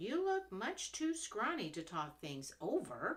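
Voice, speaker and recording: A female-sounding put-on character voice, pitched fairly high, moves at a fairly slow pace with very wide pitch swings. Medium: read story. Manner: eager, friendly.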